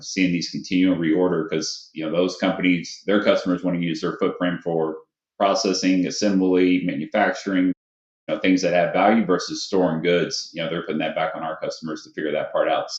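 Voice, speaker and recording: Fairly quick pace with a Kentucky accent. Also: man. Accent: Kentucky Southern US. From Louisville, Kentucky. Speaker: warehouse consulting sales director. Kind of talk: podcast interview.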